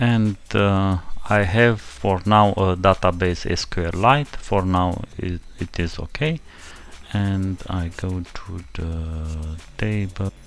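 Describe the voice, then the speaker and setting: A man with a very deep, low voice talks at a very slow pace, his pitch varying in an ordinary way. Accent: non-native. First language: not English. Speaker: programming tutorial creator. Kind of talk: tutorial. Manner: halting.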